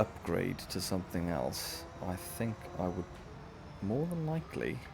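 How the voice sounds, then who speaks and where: A man speaks with a Welsh accent and lively intonation. Music plays in the background. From West Wales. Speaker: gaming streamer. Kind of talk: live gameplay commentary. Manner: casual, chatty. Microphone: voice may be too quiet under game audio.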